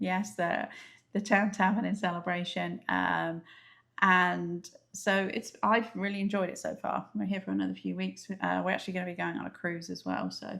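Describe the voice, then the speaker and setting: In a very clean recording with a silent background, a woman with an English accent speaks at a moderate pace. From England. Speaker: travel vlogger. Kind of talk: casual chat.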